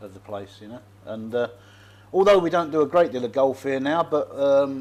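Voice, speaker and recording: Pitched fairly high, a man with a London accent speaks with lively intonation and big swings in loudness. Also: moderate pace. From London and Essex, England. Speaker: expat bar owner. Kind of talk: casual interview chat. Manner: halting, repetitive.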